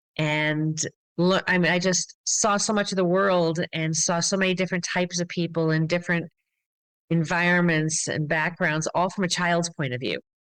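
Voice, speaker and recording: An unremarkable speaking voice from a woman, fairly low in pitch, moderate in pace, with fairly even intonation over a quiet background. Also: very even loudness. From US Midwest and Massachusetts. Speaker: glass artist and studio owner. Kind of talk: interview.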